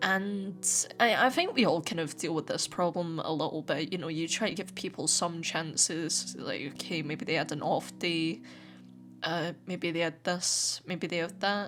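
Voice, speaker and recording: Music plays in the background as a woman speaks at a moderate pace. Her pitch is fairly low, with ordinary variation. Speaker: YouTuber. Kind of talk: personal vlog monologue to camera. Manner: halting, with repeated words.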